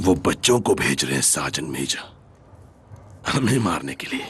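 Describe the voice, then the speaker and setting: A put-on character voice with very wide pitch swings at a moderate pace. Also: man, very deep, low pitch for a man. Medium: fan dub. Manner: grim, terse.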